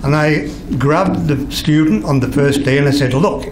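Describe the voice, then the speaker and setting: Heard with audible room echo and noticeable background noise, a man speaks with an English accent. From England. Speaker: retired art director. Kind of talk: anecdote telling to an audience. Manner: halting.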